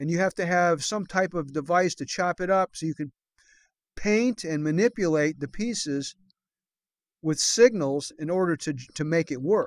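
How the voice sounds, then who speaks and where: Ordinary pitch variation on a very clean recording with a silent background and a dry, close sound with no echo. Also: man, high pitch for a man, moderate pace. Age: 60s. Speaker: gaming youtuber. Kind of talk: tutorial. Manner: halting.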